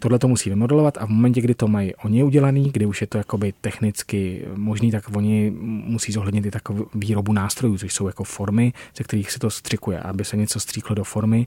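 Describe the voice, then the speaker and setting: A man talks at a very fast pace in a dark, mellow, somewhat breathy tone. His intonation is fairly even, and the sound is dry and close with no echo. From Czech countryside. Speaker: industrial designer. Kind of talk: interview. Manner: halting.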